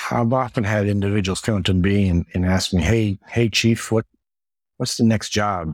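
In a very clean recording with a silent background, a man has a normal speaking voice, fairly low pitch, fairly even intonation, very even loudness and a moderate pace. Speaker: retired military medic. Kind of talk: interview.

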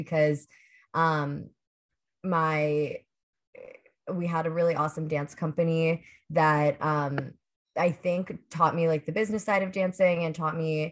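A fairly low-pitched woman with an American accent, in a monotone, flat intonation at a moderate pace. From US, Pittsburgh. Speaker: dancer and choreographer. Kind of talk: casual interview chat.

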